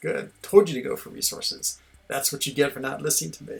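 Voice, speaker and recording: Using a put-on character voice, a man talks very fast in a raspy voice with big swings in loudness. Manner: dreamy.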